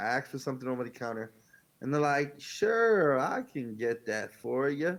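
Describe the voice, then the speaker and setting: The speaker is a man in a New York accent. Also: very clean recording, silent background. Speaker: podcast co-host. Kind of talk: casual chat. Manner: fast.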